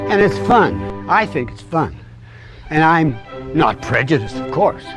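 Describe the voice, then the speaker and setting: A man with a medium-pitched voice talks at a fairly slow pace in an upbeat tone. His pitch swings very widely and his loudness shifts a lot, with music playing in the background. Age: 70s. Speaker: senior fitness instructor. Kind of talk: exercise class instruction. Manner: upbeat, encouraging.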